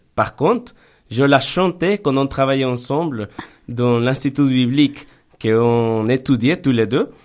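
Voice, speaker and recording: A man with a Spanish accent at a very slow pace, in a very clean recording with a silent background. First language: Spanish (speaking French). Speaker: pastor. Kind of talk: radio interview. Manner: halting, with repetitions.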